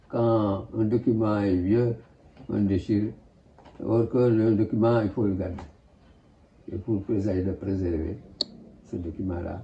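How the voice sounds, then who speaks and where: Somewhat breathy speech moves at a very slow pace with ordinary pitch variation. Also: man. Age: 80s+. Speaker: museographer, photographer, filmmaker. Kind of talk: interview answer.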